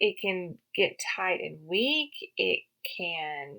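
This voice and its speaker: A woman speaks with a Southern US accent. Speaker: podcast host, health and wellness practitioner for riders. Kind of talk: educational podcast talk. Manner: casual, with many fillers and repetitions.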